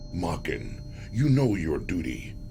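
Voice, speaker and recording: A man's put-on character voice over loud background noise. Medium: video game. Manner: curt, commanding.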